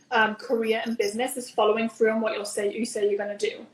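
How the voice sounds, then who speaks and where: A woman talks in a Newcastle accent. Her pitch is fairly high and her pace fairly quick. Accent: Newcastle accent noticeable. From northern England (Newcastle). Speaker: business founder and coach. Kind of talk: interview.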